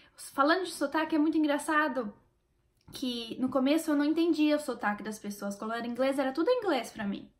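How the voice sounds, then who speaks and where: At a fairly quick pace, a woman speaks in a high pitch with ordinary pitch variation. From Brazil. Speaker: YouTuber sharing language-learning tips. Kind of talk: casual vlog talk to camera. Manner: animated.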